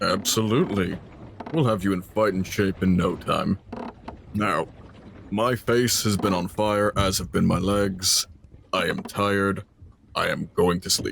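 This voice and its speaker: Delivered at a moderate pace, this put-on character voice is broken up by long, frequent pauses. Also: man, fairly low pitch for a man. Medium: actual play. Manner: blunt, cocky.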